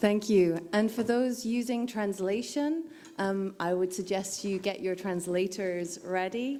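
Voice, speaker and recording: With audible room echo and noticeable background noise, a woman speaks at a fairly slow pace with ordinary pitch variation. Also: medium pitch for a woman. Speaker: humanitarian gender specialist, keynote speaker. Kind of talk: conference keynote. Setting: conference hall with audience and interpreters. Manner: deliberately slow at the start.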